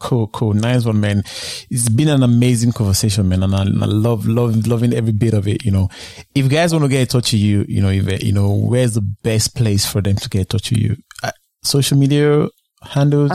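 Dry and close with no echo, a man's dark, mellow voice sits at medium pitch with ordinary pitch variation, very even loudness and a fairly quick pace. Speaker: podcast host, interviewer. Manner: calm, soothing; relaxed, frequent "you know" fillers.

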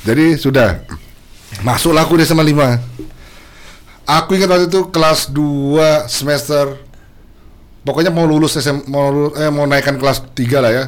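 A man speaks at a moderate pace and a fairly high pitch, his loudness very even. Long, frequent pauses break up his speech. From Balikpapan, Indonesia. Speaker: singer. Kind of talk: casual chat. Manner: animated.

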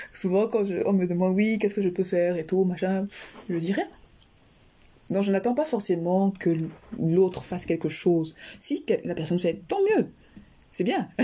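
A woman's dark, mellow voice at a medium pitch, with ordinary pitch variation, a moderate pace and long, frequent pauses. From Cameroon, Yaoundé. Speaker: general practitioner and health YouTuber. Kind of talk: interview conversation.

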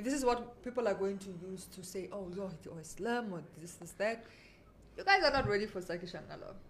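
Over noticeable background noise, the talking goes at a fairly quick pace and varies in pitch in an ordinary way. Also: woman, medium pitch for a woman. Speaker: radio host. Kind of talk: casual radio chat.

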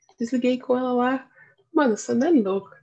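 A woman's voice is high-pitched with ordinary variation. Her tone is dark and mellow. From Brazil, São Paulo city East Zone. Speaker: podcast co-host. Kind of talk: casual chat.

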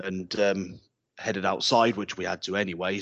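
A man with a very deep, low pitch and an English accent, at a fairly quick pace. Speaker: karate instructor. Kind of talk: casual chat. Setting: video call. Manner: halting.

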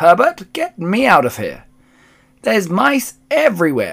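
In a put-on character voice, a man shouts at a fairly slow pace with a high, shrill pitch, very wide pitch swings and vocal fry. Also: fairly bright tone.

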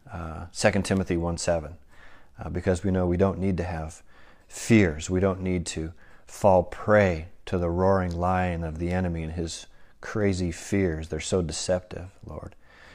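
A man with a very deep, low pitch speaks at a moderate pace and fairly even intonation. Room echo can be heard. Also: big swings in loudness. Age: 50s. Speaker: pastor. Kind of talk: sermon. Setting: living room, recorded devotional.

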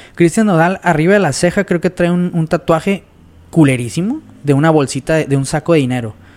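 Using an ordinary speaking voice, a man talks quickly-ish at a fairly high pitch with ordinary pitch variation. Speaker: podcast guest. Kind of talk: casual chat.

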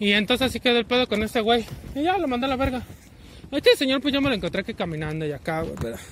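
A man's extremely high voice at a very fast pace, with very wide pitch swings. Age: 20s. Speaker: vlogger. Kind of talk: casual monologue while walking. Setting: outdoors, walking.

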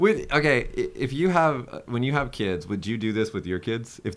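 On a very clean recording with a silent background, a man uses an ordinary speaking voice with lively intonation. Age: 30s. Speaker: podcast host. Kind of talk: casual chat.

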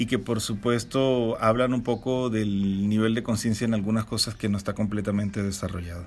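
A man talks at medium pitch and a moderate pace in an ordinary speaking voice, with ordinary pitch variation. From Venezuela. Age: 40s. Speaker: podcast co-host. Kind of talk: casual chat.

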